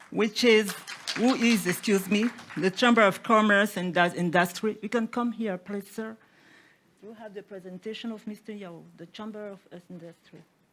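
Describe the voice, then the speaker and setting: With a non-native accent, a woman talks at a moderate pace, her intonation fairly even while her loudness swings widely. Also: medium pitch for a woman. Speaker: business delegate. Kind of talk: conference presentation. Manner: halting, many fillers.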